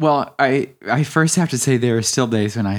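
Speaking in a normal speaking voice, a man with an American accent talks at a fairly slow pace with lively intonation. The recording is very clean with a silent background. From US South and Midwest. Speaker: painter and hairstyling student. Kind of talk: casual chat.

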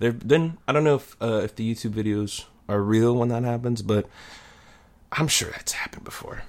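A man talks at a moderate pace in a medium pitch. It is a normal speaking voice with ordinary pitch variation. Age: 20s. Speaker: podcast co-host. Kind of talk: casual chat. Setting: studio.

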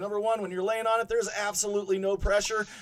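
There is noticeable background noise as a man speaks in a high pitch. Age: 50s. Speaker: podcast host. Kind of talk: casual banter, ad reading. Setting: home basement studio. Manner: joking, profane, animated.

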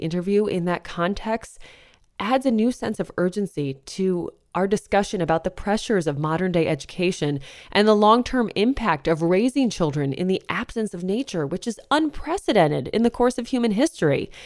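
In an unremarkable speaking voice, a woman with an American accent talks at a fairly quick pace and medium pitch with lively intonation, in a very clean recording with a silent background and a dry, close sound with no echo. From northeastern US. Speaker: podcast host. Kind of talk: scripted narration; interview.

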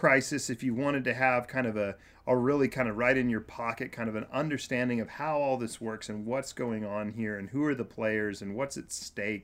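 A man's ordinary speaking voice with an American accent, medium pitch, fairly even intonation, a moderate pace and hardly any pauses. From Kansas. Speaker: nonprofit director working with refugees. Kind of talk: casual chat.

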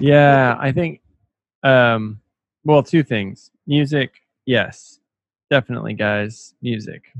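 With an American accent, a man at medium pitch speaks at a very slow pace, using ordinary pitch variation and long, frequent pauses. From Austin, Texas. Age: 30s. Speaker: podcast host. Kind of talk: casual chat.

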